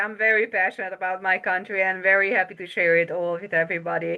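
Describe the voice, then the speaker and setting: A medium-pitched woman with a Hungarian accent at a very fast pace. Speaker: travel agent. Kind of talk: interview. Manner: halting.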